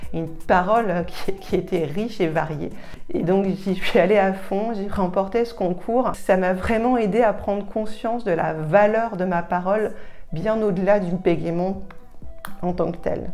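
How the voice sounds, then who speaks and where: The woman's tone is dark and mellow, and her pace fairly slow. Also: medium pitch for a woman, fairly even intonation. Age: 40s. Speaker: public service manager. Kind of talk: interview answer.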